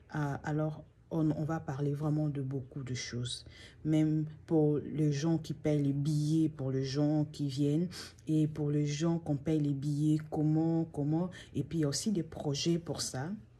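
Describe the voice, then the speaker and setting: A woman's very deep, low voice, very slow, somewhat breathy, dark and mellow in tone, and monotone and flat. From DR Congo. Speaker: channel host. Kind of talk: vlog monologue. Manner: halting.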